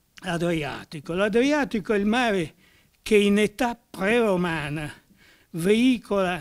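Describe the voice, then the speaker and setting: Over light background noise, a man talks very slowly in a high pitch with ordinary pitch variation. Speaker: professor. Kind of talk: lecture. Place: classroom. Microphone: podium.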